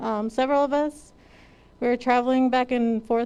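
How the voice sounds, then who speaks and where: With an American accent, the talking proceeds at a moderate speed. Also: woman. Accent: Navajo English. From Navajo Nation, Arizona. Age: 20s. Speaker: police officer graduate. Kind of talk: graduation speech.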